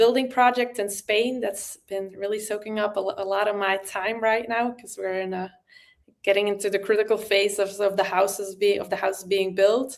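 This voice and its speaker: Monotone, flat intonation from a woman at medium pitch, with a non-native accent. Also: moderate pace. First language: non-native English speaker. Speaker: crypto community member. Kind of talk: casual chat. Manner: halting, searching for words.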